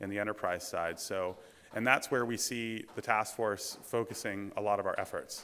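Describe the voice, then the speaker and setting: Bright, sharp tone from a man at fairly low pitch, moderate pace and fairly even intonation, in a very clean recording with a silent background. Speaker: conference presenter. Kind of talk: conference talk.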